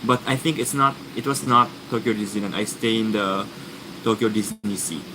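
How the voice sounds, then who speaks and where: A man's voice, with ordinary pitch variation, is heard against noticeable background noise. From Japan, Fukuoka; Japan. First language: Japanese. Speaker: vlogger; live streamer. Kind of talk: livestream chat answering comments. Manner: halting, many restarts and fillers. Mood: relaxed, friendly. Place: home room. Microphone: webcam.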